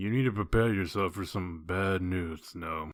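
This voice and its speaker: Using a put-on character voice, a man talks at a moderate pace with a very deep, low pitch on a very clean recording with a silent background. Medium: audio drama. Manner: blunt, terse, businesslike.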